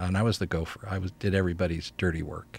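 This man has a very deep, low pitch and an American accent. He talks fairly quickly in a monotone, flat delivery. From New Jersey. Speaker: CEO coach and author. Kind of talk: casual interview conversation. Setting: radio studio.

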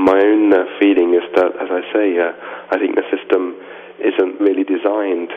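A man speaks with a London accent over noticeable background noise. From London, England. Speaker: author. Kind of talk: radio interview.

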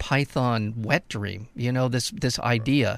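On a very clean recording with a silent background, a man with a normal speaking voice talks at a medium pitch and a moderate pace. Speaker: radio host. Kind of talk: casual radio banter and commentary.

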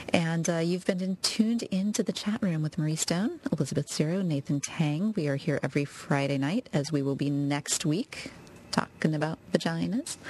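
An unremarkable speaking voice, this woman talks at a moderate pace with a fairly low pitch. She shows ordinary pitch variation and hardly any pauses. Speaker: radio co-host. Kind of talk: casual chat. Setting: live radio studio.

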